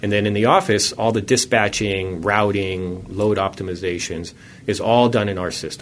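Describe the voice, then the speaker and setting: With an American accent, a man speaks in an ordinary speaking voice, fairly low in pitch, with fairly even intonation. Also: moderate pace. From California, Palo Alto. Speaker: software startup founder. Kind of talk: radio interview. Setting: studio.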